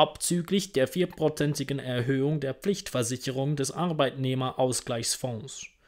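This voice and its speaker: Over a quiet background, a man with a medium pitch speaks at a fairly slow pace with ordinary pitch variation. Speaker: audiobook reader. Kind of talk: reading aloud. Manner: formal. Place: home room. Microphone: earbuds.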